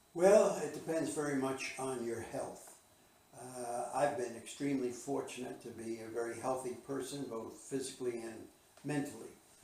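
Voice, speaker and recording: A man with an American accent talks at a moderate pace and medium pitch, with ordinary pitch variation. Audible room echo and noticeable background noise come through. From New Jersey (Bayonne). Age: 90s. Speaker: retired management consultant. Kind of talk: interview. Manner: halting, many filler uh's; formal.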